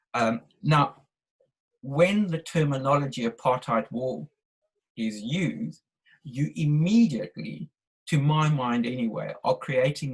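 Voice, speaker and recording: With a South African accent, a man speaks at medium pitch in a somewhat breathy voice with lively intonation. His pace is fairly slow, with long, frequent pauses. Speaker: webinar participant. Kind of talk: discussion question. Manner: halting.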